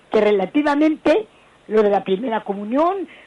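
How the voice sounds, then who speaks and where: Over noticeable background noise, a woman talks at a fairly slow pace in a fairly high pitch that swings very widely. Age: 80s+. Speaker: caller. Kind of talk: phone-in call.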